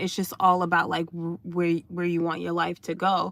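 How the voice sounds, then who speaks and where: At a moderate pace, a woman talks with a fairly low pitch and a bright, sharp tone. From United States (Haitian family). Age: adult, college graduate. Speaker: dating coach and livestreamer. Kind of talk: casual livestream chat. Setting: in a parked car. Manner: halting, many fillers.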